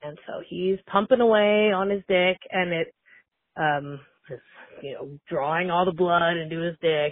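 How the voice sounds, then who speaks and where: Pitch varies in an ordinary way at a moderate pace, in a plain, everyday voice. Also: woman. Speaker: anonymous secret-hotline caller. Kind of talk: recorded voicemail anecdote. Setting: phone voicemail.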